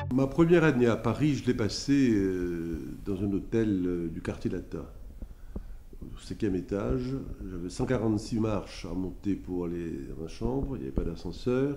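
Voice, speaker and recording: The tone is dark and mellow, with very wide pitch swings. Audible room echo surrounds the voice. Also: man, fairly low pitch for a man, fairly slow pace. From Haiti. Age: 70s. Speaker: lawyer, former student resident. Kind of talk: interview testimony, reminiscing. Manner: hesitant, many filler sounds.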